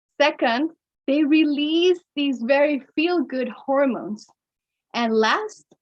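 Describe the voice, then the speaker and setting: The speech moves at a very slow pace in a Mexican accent. Its intonation is lively. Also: woman. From Mexico. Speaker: storytelling workshop presenter. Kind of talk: workshop lecture. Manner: occasional stumbles on pronunciation.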